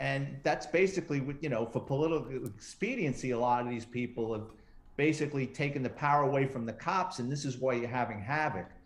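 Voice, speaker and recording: In a New York accent, a man talks at a fairly quick pace. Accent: New York accent, still noticeable. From New York City, the Bronx. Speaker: retired police detective and true crime author. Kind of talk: interview.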